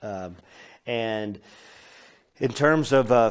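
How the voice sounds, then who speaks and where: A man with an American accent speaks at a medium pitch. The recording is very clean, the background silent. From US (born in Poland). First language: Polish. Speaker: film director. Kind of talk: interview. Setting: film festival. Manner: casual, with many fillers.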